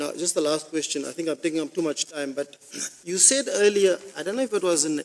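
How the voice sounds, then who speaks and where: A man with a South African accent speaks in a fairly high voice with lively intonation. The sound is dry and close with no echo, with noticeable background noise. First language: Afrikaans. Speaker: constitutional court judge. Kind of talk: court hearing questioning.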